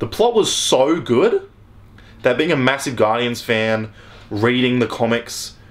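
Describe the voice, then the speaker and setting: Speaking at a fairly slow pace, a man with a medium pitch sounds animated, with ordinary pitch variation. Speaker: YouTube movie reviewer. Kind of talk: film review vlog.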